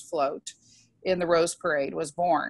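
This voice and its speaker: At a moderate pace, a woman speaks with ordinary pitch variation against a quiet background, the sound dry with no echo. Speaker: event host introducing speaker. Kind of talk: introduction speech. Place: home room. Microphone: earbuds.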